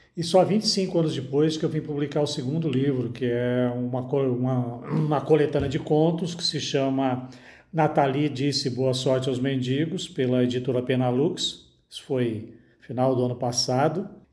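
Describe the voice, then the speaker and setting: A man with a mid-range voice talks at a middling speed, his pitch rising and falling in a normal way, while clear background noise and noticeable room reverberation come through. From Brazil, Minas Gerais. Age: 60s. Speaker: author. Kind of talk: interview.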